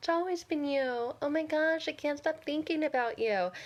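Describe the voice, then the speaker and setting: High pitch and a moderate pace in a put-on character voice. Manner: annoying, mocking, put-on.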